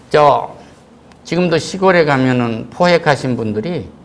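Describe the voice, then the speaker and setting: A man speaks with a fairly high pitch and lively intonation. Room echo is audible. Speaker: pastor. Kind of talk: sermon. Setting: church. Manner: louder than usual due to mask. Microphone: wearing a mask, muffled pronunciation.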